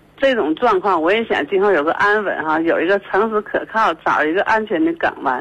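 The speaker is a woman with a medium-pitched voice. She keeps a moderate pace. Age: 50s. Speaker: radio call-in caller. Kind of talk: call-in conversation about personal problem. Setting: phone call. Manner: hesitant, many fillers and repetitions.

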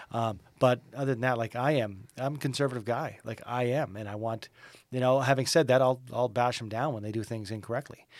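An unremarkable speaking voice with a Canadian accent moves at a fairly quick pace with fairly even intonation. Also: man, medium pitch for a man. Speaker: radio morning show host. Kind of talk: casual chat.

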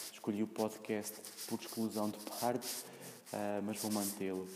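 With a European Portuguese accent, a man speaks at a fairly low pitch and a moderate pace. His intonation is monotone and flat. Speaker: podcaster. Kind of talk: solo monologue. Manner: halting, many fillers and repetitions.

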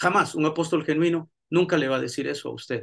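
This man has an ordinary speaking voice at a fairly high pitch. He talks at a moderate pace. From El Salvador, raised mostly in the USA. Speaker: pastor and theology professor. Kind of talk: lecture.

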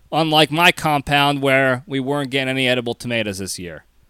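Recorded very cleanly against a silent background, the sound is dry and close with no echo. A man with an American accent talks at a moderate pace in a bright, sharp tone. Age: 30s. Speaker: podcast host. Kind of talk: casual monologue. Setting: home recording.

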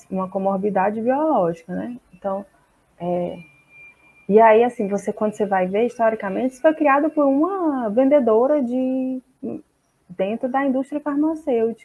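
This woman's voice is fairly high and her intonation lively. She keeps a moderate rate. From Brazil, Fortaleza, Ceará. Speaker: psychologist. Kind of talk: online seminar talk.

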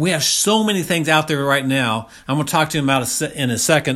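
On a very clean recording with a silent background, a man speaks in an animated tone with a fairly high pitch and ordinary pitch variation. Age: 50s. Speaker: health coach. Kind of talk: solo monologue podcast.

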